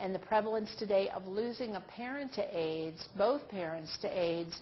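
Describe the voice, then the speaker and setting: At a moderate pace, a woman speaks in a medium pitch with a plain, everyday voice. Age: 60s. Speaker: nurse trainer. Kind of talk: online training presentation. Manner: conversational.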